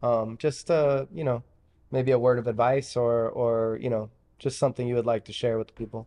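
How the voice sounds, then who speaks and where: An ordinary speaking voice belongs to a man at a medium pitch. He talks at a moderate pace with fairly even intonation. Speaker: podcast co-host. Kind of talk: casual interview.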